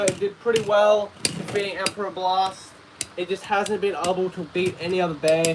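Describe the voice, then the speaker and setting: Noticeable background noise sits under speech going at a fairly quick pace. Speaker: Beyblade YouTuber. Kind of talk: live stream commentary. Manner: casual, chatty; stutters at times.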